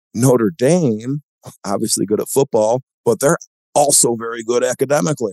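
A man's plain, everyday voice at medium pitch, moderate pace and lively intonation, in a dry, close sound with no echo. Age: 40s. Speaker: venture capitalist and former college football player. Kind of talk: casual interview chat.

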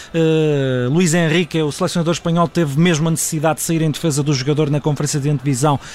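Noticeable background noise surrounds a man whose fairly high voice shows ordinary pitch variation. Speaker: sports journalist. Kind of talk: radio analysis; live commentary. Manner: fast.

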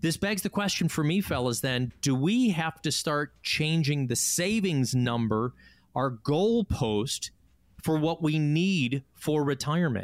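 In a very clean recording with a silent background, a man with an American accent and a normal speaking voice talks at a fairly slow pace, his fairly high pitch carrying lively intonation at a very even loudness. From Chicago. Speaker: radio host. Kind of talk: radio talk show.

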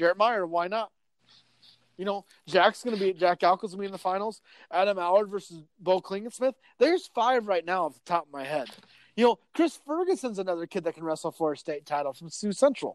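A high-pitched man with an American accent, fairly quick, with ordinary pitch variation, in a dry, close sound with no echo. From northwest Iowa. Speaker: sports editor. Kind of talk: casual sports chat. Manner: animated.

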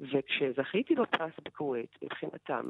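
A woman speaks with an Arabic accent. Her pace is fairly slow. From Negev Bedouin village, Israel. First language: Arabic (speaking Hebrew). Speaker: writer and poet. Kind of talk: interview.

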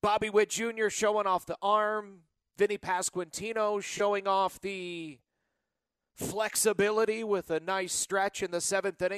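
With a dry, close sound with no echo over a quiet background, a man speaks at a high pitch, a fairly slow pace and a monotone, flat intonation. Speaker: sports radio host. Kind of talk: radio call-in show. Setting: studio.

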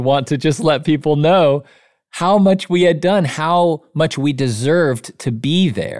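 Speaking at a fairly slow pace, a man with a plain, everyday voice uses a fairly high pitch and ordinary pitch variation, in a very clean recording with a silent background. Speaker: author and business leader. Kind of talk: interview conversation about business and leadership.

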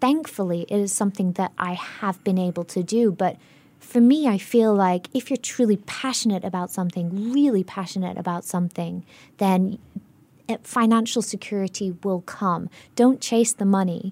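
A woman with a dark, mellow tone speaks at a medium pitch and moderate pace with ordinary pitch variation, in a dry, close sound with no echo on a very clean recording with a silent background. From Singapore, Indian Singaporean family. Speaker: burlesque performer and activist. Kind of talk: radio interview. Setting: radio studio. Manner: animated.

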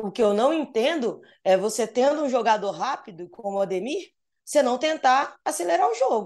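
Lively intonation and a fairly quick pace in a woman's high voice. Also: quiet background. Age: 30s. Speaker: football journalist. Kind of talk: casual chat.

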